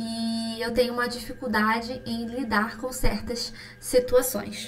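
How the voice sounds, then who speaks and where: A woman with a Rio de Janeiro accent speaks at a high pitch. Music plays in the background, and the room has an audible echo. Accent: Carioca Brazilian Portuguese. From Brazil, Rio de Janeiro. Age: 20s. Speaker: pharmacist and skincare podcaster. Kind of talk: casual solo podcast chat.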